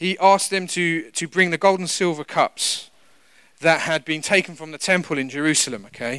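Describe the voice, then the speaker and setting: A man's bright, sharp voice with a British accent. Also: very clean recording, silent background. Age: 40s. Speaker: pastor. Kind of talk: sermon.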